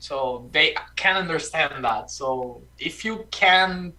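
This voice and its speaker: A man's high-pitched voice, with ordinary pitch variation, comes through noticeable background noise. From Brazil. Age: 20s. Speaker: language-learning guest. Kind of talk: casual conversation practice. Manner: halting, repeats words.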